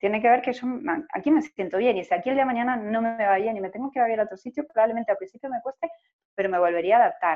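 Very fast and with lively intonation, a woman speaks at a fairly high pitch. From Argentina, Buenos Aires Province (small town), later Buenos Aires. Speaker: tourism professional, immigrant. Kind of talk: interview, personal testimony.

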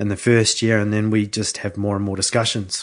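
Against a quiet background, a man with a New Zealand accent speaks at a fairly low pitch in a monotone, flat intonation. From New Zealand, Hawke's Bay. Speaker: winemaker. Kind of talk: interview. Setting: studio.

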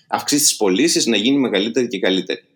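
Lively in intonation, a man with a plain, everyday voice talks at a fairly quick pace and a medium pitch. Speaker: web developer and software entrepreneur. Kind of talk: casual interview.

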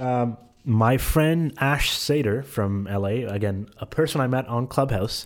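An ordinary speaking voice from a man, medium in pitch with ordinary pitch variation. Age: 20s. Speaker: content creator and social media manager. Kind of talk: casual chat.

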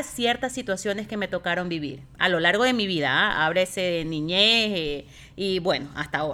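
Very wide pitch swings in a woman's bright, sharp-toned voice. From Ecuador. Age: 40s. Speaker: host's mother. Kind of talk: interview.

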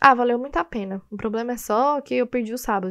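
Animated in tone, a woman with a fairly high pitch speaks at a very fast pace with ordinary pitch variation. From Brazil, Goiânia. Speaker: podcast host. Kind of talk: casual solo monologue.

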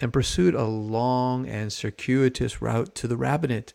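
This is a man with an unremarkable speaking voice. He has an American accent and ordinary pitch variation. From US West Coast, San Francisco Bay Area (Marin). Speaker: rabbi and sports card podcaster. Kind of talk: casual solo podcast monologue.

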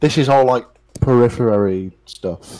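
The voice has a Liverpool accent and a dark, mellow tone. Its pitch variation is ordinary. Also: man. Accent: Scouse. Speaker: podcast co-host. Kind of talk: casual chat.

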